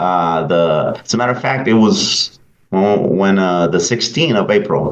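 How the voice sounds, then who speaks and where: A man speaks with a Salvadoran accent. His pace is very slow. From El Salvador. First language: Spanish. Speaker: pastor. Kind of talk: interview. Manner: halting, many fillers.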